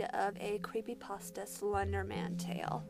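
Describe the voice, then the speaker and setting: A woman talks at a fairly slow pace, with music in the background. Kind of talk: casual talk to camera.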